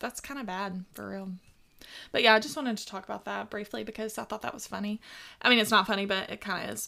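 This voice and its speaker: A woman with a medium pitch and a bright, sharp tone speaks at a very fast pace with vocal fry and ordinary pitch variation. Her loudness swings widely in a very clean recording with a silent background. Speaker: podcast co-host. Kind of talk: casual chat.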